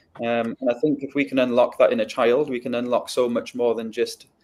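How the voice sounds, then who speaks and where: A man with a Welsh accent at a moderate pace. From North Wales. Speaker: educator. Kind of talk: interview. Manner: halting, many fillers.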